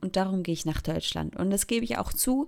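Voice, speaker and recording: Lively intonation marks a woman's medium-pitched voice on a very clean recording with a silent background. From Switzerland, Thurgau. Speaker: podcaster. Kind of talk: casual monologue. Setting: bedroom.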